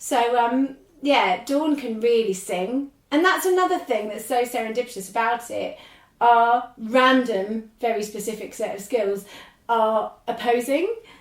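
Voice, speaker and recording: This voice, in a southern English accent, moves at a fairly slow pace with ordinary pitch variation. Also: woman. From England, London then Norwich. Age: 40s. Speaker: podcaster and ADHD activist. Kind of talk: casual interview chat. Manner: animated.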